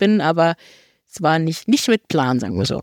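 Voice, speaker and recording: A woman with a normal speaking voice and a fairly low pitch, talking at a fairly quick pace, in a very clean recording with a silent background and a dry, close sound with no echo. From northern Germany, near Hamburg. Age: 30s. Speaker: trail runner and biochemist. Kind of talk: casual interview.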